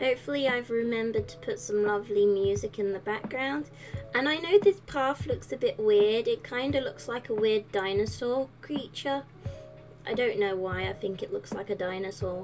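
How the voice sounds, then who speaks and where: A woman with very wide pitch swings at a moderate pace, music in the background. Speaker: gaming content creator. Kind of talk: casual voice-over commentary. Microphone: studio mic.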